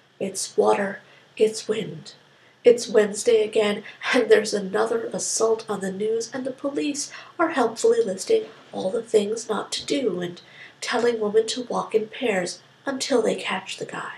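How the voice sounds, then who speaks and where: Ordinary pitch variation in a woman's fairly high voice, with noticeable background noise behind it. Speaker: spoken word poet. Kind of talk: spoken word poetry performance. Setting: quick informal recording.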